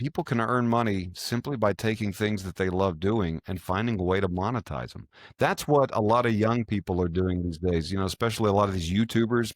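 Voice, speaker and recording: Fairly low and fairly quick, a man's ordinary speaking voice shows ordinary pitch variation, with a dry, close sound and no echo on a very clean recording with a silent background. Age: 40s. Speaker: financial advisor and radio host. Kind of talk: interview conversation.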